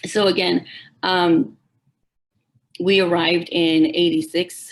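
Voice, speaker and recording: A woman speaks with a Spanish accent. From Mexico, raised in San Bernardino, California. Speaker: middle school educator. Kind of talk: public forum speech.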